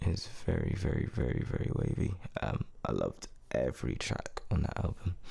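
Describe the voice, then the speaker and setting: Against noticeable background noise, a man with a very deep, low pitch talks in a relaxed tone with lively intonation. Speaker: podcast host. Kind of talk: casual monologue. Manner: relaxed, many fillers.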